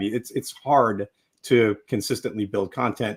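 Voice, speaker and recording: A man talks in a normal speaking voice, fairly low in pitch, with ordinary pitch variation. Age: 50s. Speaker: legal tech business leader. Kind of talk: live panel discussion. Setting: live video stream.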